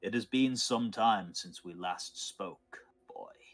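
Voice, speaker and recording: A gruff, put-on character voice from a man at medium pitch, with big swings in loudness. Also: fairly slow pace. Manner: stern, addressing a younger man.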